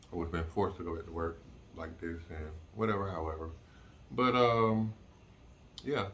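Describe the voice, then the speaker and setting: Very deep and low, a man's voice moves at a moderate pace with ordinary pitch variation and long, frequent pauses. Room echo is audible. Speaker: vlogger recovering from jaw surgery. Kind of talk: casual vlog update. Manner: halting, many fillers.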